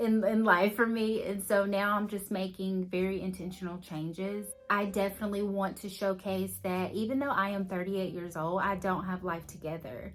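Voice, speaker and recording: A woman with a Southern US accent speaks at a moderate pace and medium pitch, her pitch varying in an ordinary way, with music in the background. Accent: Southern US accent, noticeable. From Alabama. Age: 30s. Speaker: lifestyle vlogger. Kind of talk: casual vlog talk to camera. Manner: conversational, with fillers.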